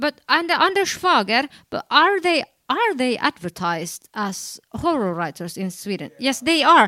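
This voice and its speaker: A woman speaks at a high pitch, her voice raised and projected. Her pitch swings very widely, and the sound is dry and close with no echo. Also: fairly slow pace. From Finland. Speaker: writer and editor. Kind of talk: panel discussion. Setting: convention stage with audience.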